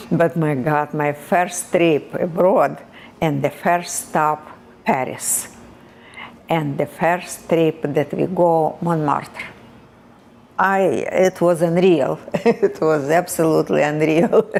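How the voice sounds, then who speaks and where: A woman's fairly low voice with a Russian accent and fairly even intonation, very slow, with long, frequent pauses, over noticeable background noise. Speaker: immigrant interviewee. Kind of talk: casual interview. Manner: halting.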